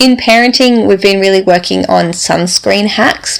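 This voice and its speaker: Over noticeable background noise, a woman speaks with an Australian accent. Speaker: podcast host, neurodiversity coach. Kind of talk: solo podcast talk.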